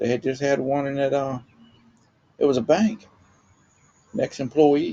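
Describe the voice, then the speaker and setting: Someone speaks at a moderate pace with a Southern US accent. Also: man. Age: old. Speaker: retired homeowner vlogger. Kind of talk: casual talk to camera. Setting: outdoors.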